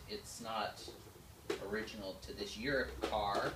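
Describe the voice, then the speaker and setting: Noticeable background noise runs under the voice. The words come at a very slow pace. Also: man. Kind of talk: casual project vlog explanation. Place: garage. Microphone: camera far.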